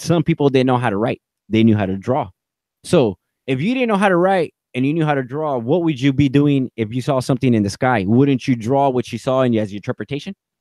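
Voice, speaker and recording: The delivery is animated, with lively intonation and a fairly quick pace, in a dry, close sound with no echo. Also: man, medium pitch for a man. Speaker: YouTube host of conspiracy livestream. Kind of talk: live video chat, showing slides. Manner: fast.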